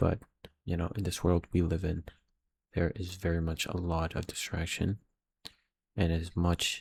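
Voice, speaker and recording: At a fairly slow pace, a man speaks with a very deep, low pitch and a somewhat breathy quality. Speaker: aspiring filmmaker vlogger. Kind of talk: casual video diary. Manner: halting.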